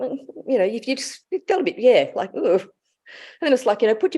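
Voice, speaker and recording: A woman with an Australian accent, a dark, mellow tone and very wide swings in pitch. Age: 60s. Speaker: intuitive life guide. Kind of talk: casual chat.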